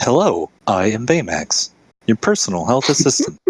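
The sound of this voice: A man puts on a character voice at a medium pitch. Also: moderate pace.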